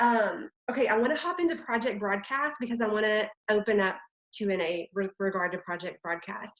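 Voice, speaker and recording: A woman with a strong Texan accent, fairly high pitch, lively intonation and a fairly quick pace. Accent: Texas accent, strong. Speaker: network marketing leader. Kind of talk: online training talk. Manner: animated.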